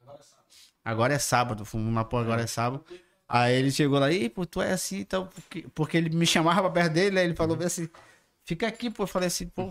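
A man with a northern Brazilian accent, fairly high in pitch, with lively intonation, big swings in loudness and a very fast pace. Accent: northern Brazilian (Manaus) Portuguese. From Manaus, Brazil. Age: 30s. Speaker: digital content creator. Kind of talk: casual chat. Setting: podcast studio, livestream.

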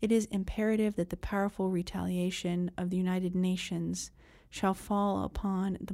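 A woman's medium-pitched voice with a solemn tone, dark and mellow, at a moderate pace in a very clean recording over a silent background. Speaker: newspaper article reader. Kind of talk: 1940s newsreel-style narration. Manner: crisp, declamatory.

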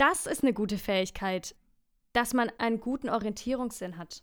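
On a very clean recording with a silent background, a woman talks at a moderate pace in a fairly high pitch with lively intonation. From Franconia, Bavaria. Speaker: musical performer. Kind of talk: casual chat.

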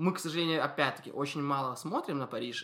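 A man talks in a fairly high voice with a bright, sharp tone. The recording is very clean, with a silent background. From Belarus, Soligorsk. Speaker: podcast host. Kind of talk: casual chat.

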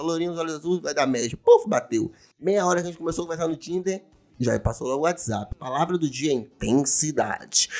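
Music plays behind a man speaking at a fairly quick pace. His pitch is high. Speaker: podcast host. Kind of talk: casual monologue. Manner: animated. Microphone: new condenser microphone.

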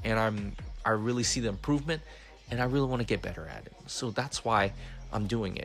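A man with a medium pitch and vocal fry talks at a very fast pace, his pitch varying in an ordinary way. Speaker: podcast host. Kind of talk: casual chat. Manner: halting, many filler words.

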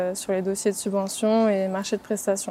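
A woman speaks with monotone, flat intonation. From France, Reims. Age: 20s. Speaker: sports club legal officer. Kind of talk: interview. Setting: on-site at sports campus.

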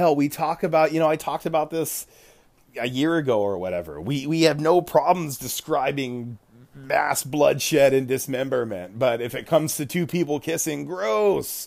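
In an ordinary speaking voice, a man with an American accent and a fairly high pitch talks at a moderate pace with lively intonation. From United States. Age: 40s. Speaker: podcast host, tabletop game master. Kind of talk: casual solo podcast monologue. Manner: casual, laughs often.

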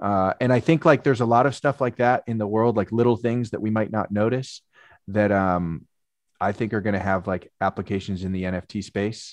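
A man with a plain, everyday voice, fairly low pitch, ordinary pitch variation and a moderate pace, in a dry, close sound with no echo over a quiet background. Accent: American. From US West Coast, Marin County, California. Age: 30s. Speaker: painter and sports artist. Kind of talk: casual interview. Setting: video call.

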